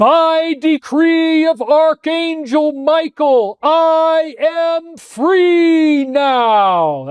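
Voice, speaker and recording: A put-on character voice with a high pitch moves at a very slow pace with hardly any pauses. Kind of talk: grand. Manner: heroic, declamatory.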